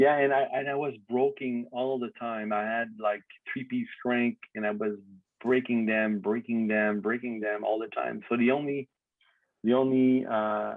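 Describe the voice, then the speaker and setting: A man of medium pitch with a Quebec accent, fairly slow and fairly even in intonation. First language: French. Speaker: BMX industry figure, former racer. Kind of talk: casual chat. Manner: halting.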